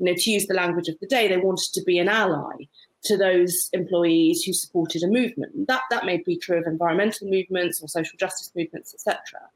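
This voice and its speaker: Talking very fast with hardly any pauses, a woman with a British accent uses ordinary pitch variation. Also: medium pitch for a woman. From UK. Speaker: barrister. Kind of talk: panel discussion. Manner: halting.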